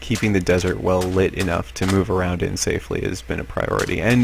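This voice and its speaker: The man's pitch is very deep and low, with lively intonation. Noticeable background noise runs underneath. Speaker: Minecraft builder and let's play narrator. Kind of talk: casual Minecraft tour narration.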